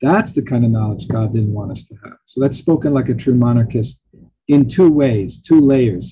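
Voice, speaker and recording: A somewhat breathy man at a moderate pace, with ordinary pitch variation, big swings in loudness and light background noise. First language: Italian. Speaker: professor. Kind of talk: lecture. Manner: chatty, informal; filler-heavy, halting.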